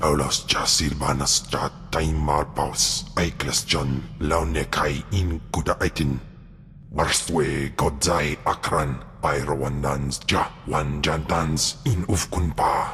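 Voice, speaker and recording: Very deep and low, a man's put-on character voice moves at a fairly slow pace. Background noise is clearly heard. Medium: video game. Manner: speaks an alien language.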